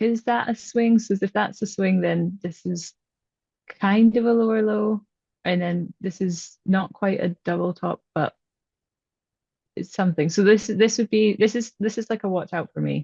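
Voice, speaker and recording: With a Scottish accent, a woman talks at a moderate pace and medium pitch, somewhat breathy, her intonation fairly even. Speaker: trading student. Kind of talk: one-on-one coaching session.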